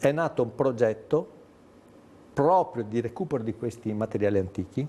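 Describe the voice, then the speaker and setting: With lively intonation and a dark, mellow tone, a man speaks at a medium pitch and a moderate pace. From Veneto, Treviso. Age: 60s. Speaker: documentary maker and teacher. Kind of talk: TV interview. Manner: animated.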